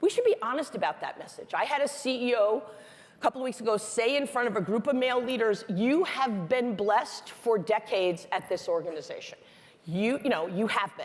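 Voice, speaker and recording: A woman's fairly high, animated voice with lively intonation, at a fairly quick pace. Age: 60s. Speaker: business executive giving a keynote talk. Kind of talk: conference talk. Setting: stage with audience.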